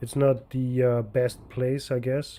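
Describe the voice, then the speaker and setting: With a German accent, the voice has a dark, mellow tone and a fairly slow pace. The recording is very clean with a silent background. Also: man. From Austria. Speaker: video game streamer. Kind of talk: live gameplay stream chat.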